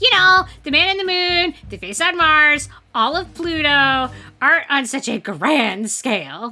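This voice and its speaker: A woman uses a put-on character voice with faint music in the background. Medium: game stream.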